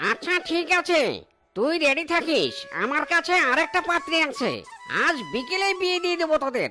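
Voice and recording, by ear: A cartoonish character voice is used here. It moves at a moderate speed.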